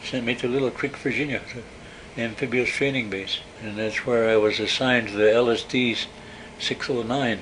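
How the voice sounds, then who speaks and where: A man speaks at a medium pitch with an American accent. Noticeable background noise runs under his voice. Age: 80s+. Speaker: war veteran. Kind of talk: oral history interview. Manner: halting.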